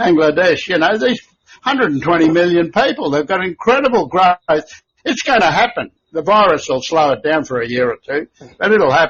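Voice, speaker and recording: A man with an Australian accent, high-pitched, fairly quick, with very wide pitch swings. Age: 70s. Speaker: company founder. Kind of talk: podcast interview. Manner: animated.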